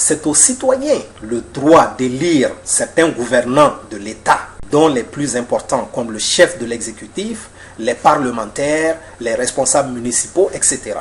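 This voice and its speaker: A man with a fairly high pitch and ordinary pitch variation, fairly slow pace, noticeable background noise. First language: Mandinka (speaking French). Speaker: author and political commentator. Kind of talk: lecture. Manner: formal.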